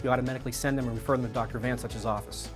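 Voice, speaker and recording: Music plays in the background as a man talks very fast. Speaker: chiropractor. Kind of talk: testimonial. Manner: hesitant, with filler words.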